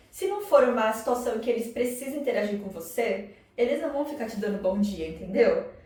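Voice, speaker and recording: A woman talks in an animated tone at a fairly high pitch. The recording has noticeable background noise and audible room echo. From Brazil, São Paulo. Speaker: psychoanalyst and vlogger. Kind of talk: casual vlog monologue. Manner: animated, conversational.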